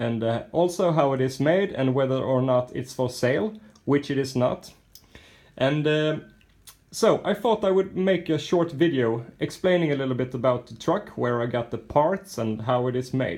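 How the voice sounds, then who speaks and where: A man speaks with a Swedish accent at a moderate pace. His medium pitch carries lively intonation. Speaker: RC model truck builder. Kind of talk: casual video walkthrough of a model.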